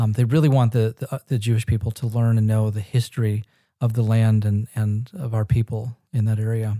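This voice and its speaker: A man's somewhat breathy, dark and mellow voice at medium pitch with an American accent, monotone and flat, at a fairly quick pace, in a dry, close sound with no echo. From Northern California and Israel. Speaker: pastor and ministry founder. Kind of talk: casual interview.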